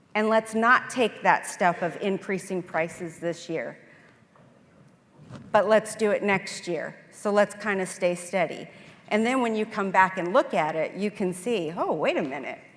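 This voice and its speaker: At a fairly slow pace, a woman with an unremarkable speaking voice talks at a medium pitch with ordinary pitch variation. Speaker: accountant, conference speaker. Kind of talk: conference presentation with Q&A.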